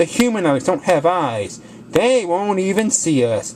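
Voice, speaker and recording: Someone uses a squeaky, put-on character voice at middle pitch and a moderate pace. Background noise is clearly heard. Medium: read story. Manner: nervous, fretful.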